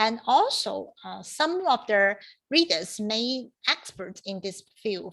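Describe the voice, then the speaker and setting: In a Chinese accent, a woman talks with a bright, sharp tone and fairly high pitch against a quiet background. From China. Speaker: professor. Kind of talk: lecture. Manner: halting.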